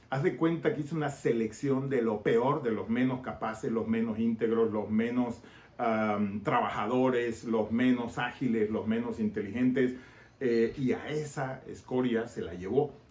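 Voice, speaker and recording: Speaking at a fairly slow pace with a Tabasco accent, this voice comes through over noticeable background noise. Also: man, medium pitch for a man, fairly even intonation. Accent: Tabasco Mexican. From Mexico, Tabasco (Villahermosa). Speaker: political commentator and YouTuber. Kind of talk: casual political podcast monologue.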